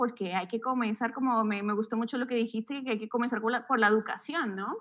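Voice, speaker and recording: A woman speaks with a high pitch. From Colombia, Bogotá. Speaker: architect and university lecturer. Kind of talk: podcast interview.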